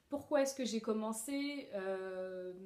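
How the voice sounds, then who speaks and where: Her voice has a dark, mellow tone and lively intonation. An audible room echo surrounds this woman's speech. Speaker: sewing vlogger. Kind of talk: casual Q&A monologue. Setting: at home alone. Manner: hesitant, many fillers.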